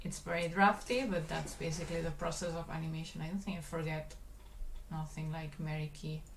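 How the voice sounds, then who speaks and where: In a room with audible echo, a woman talks at a fairly quick pace, her fairly low voice held to a fairly even intonation. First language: Spanish. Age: 20s. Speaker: animator and livestreamer. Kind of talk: casual livestream chat while working. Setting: livestream.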